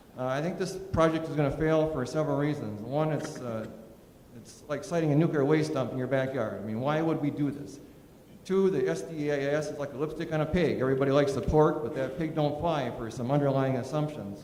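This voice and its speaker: Noticeable background noise and audible room echo fill this recording. A man with an American accent talks at a fairly quick pace. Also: fairly high pitch for a man, ordinary pitch variation. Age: 60s. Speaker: public hearing speaker. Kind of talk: public hearing testimony. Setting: public hearing with audience.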